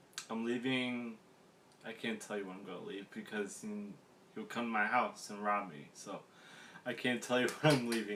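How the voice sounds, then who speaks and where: A man's voice at medium pitch and moderate pace, with ordinary pitch variation. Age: 30s. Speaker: gaming YouTuber vlogger. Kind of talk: casual vlog monologue. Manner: hesitant, many fillers.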